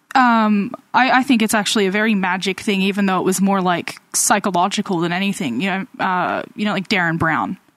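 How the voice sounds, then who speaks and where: A woman at a medium pitch speaks in a plain, everyday voice. Her pace is fairly quick, with ordinary pitch variation and hardly any pauses. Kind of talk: casual chat.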